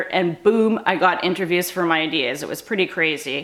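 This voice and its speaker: A woman at a moderate pace with ordinary pitch variation, noticeable background noise behind her. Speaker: startup founder. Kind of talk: casual talk to camera.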